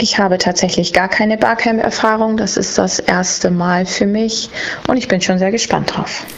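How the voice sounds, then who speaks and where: A woman keeps her loudness very even and her pace moderate, with noticeable background noise behind her. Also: medium pitch for a woman, ordinary pitch variation. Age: 30s. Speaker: language school owner. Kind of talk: interview answers. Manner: brief, concise.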